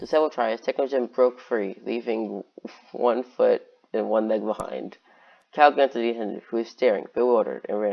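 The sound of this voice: An unforced reading voice shifts its pitch in an ordinary way.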